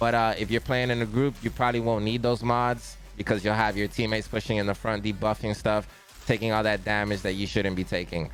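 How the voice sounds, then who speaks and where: Over music in the background, a man with a fairly low pitch talks very fast at a very even loudness. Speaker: gaming streamer. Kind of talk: game build tutorial. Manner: casual, energetic.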